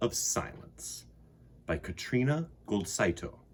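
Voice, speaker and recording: This man talks at a very slow pace. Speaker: children's storyteller. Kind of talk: reading aloud to children. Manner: quiet, soft-spoken.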